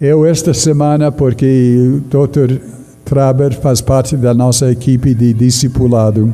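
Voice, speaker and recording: With a non-native accent and fairly even intonation, a man speaks at a very slow pace in a medium pitch, with audible room echo and music in the background. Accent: noticeable foreign accent in Portuguese. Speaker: pastor. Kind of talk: sermon.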